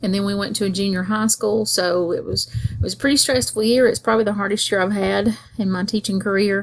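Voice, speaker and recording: A woman talks at a fairly quick pace with hardly any pauses, her medium-pitched voice moving with ordinary pitch variation. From US South, North Georgia. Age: 50s. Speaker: school teacher. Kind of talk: self-introduction monologue. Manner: casual, conversational.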